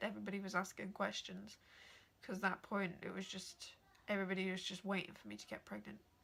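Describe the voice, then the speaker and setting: A woman with an English accent speaks at a fairly quick pace. Vocal fry runs through her voice. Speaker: vlogger. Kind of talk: personal story vlog.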